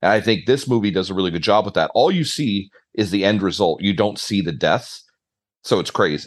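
With an unremarkable speaking voice, a man speaks at a fairly low pitch with ordinary pitch variation against a quiet background. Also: fairly quick pace. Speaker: podcast host. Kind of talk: casual chat about a movie. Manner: casual, conversational.

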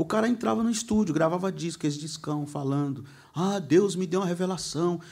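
Ordinary pitch variation at a fairly quick pace. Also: man, high pitch for a man. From Brazil, Guarulhos (Greater São Paulo). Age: 40s. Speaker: pastor and preacher. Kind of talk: casual interview chat. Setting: studio, live stream.

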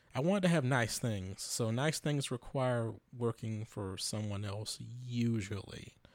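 A man's medium-pitched voice, with ordinary pitch variation, comes in a very clean recording against a silent background. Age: 30s. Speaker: amateur musician podcaster. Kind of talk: casual solo monologue. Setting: untreated bedroom home studio.

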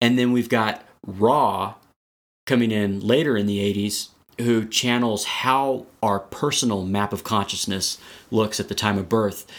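A man with an American accent and a plain, everyday voice, fairly low in pitch, fairly even in intonation and fairly slow, on a very clean recording with a silent background. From Texas. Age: 40s. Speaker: spiritual coach. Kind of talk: interview.

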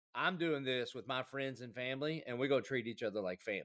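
Speaking at a fairly quick pace, a man with a Southern US accent uses lively intonation. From South Carolina. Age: 40s. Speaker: pastor. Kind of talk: casual chat.

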